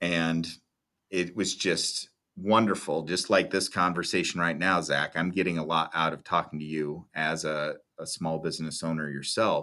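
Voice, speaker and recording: Over a quiet background, a man with a Midwestern American accent talks at a moderate pace in a very deep, low voice with a bright, sharp tone. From US Midwest (Iowa). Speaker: video production business owner. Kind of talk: interview.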